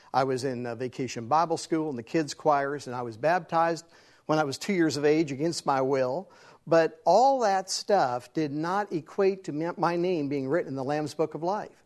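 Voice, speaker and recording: Against a quiet background, a man with an American accent has a normal speaking voice, fairly high in pitch with ordinary pitch variation and a moderate pace. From West Virginia. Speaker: evangelist, former rock musician. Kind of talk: testimony.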